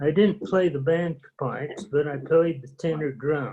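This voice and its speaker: Somewhat breathy, a man with an American accent speaks at a fairly slow pace. His intonation stays fairly even. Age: 80s+. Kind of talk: casual reminiscing with family. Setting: video call.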